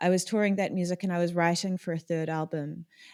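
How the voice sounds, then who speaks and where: A woman with a New Zealand accent and a dark, mellow tone, on a very clean recording with a silent background. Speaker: electronic music producer and singer. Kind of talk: podcast interview.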